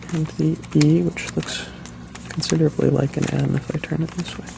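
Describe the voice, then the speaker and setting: A soft-spoken man talks at a moderate pace against noticeable background noise. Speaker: ASMR video creator. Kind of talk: soft-spoken ASMR storytelling. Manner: soft-spoken, hesitant.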